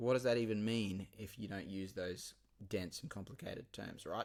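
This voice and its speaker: With a Queensland accent, a man talks at a moderate pace and a medium pitch. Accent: Queensland Australian. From Queensland, Australia (Ipswich). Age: 40s. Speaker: podcast host and teacher. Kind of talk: casual monologue. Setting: remote recording software. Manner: hesitant, many fillers.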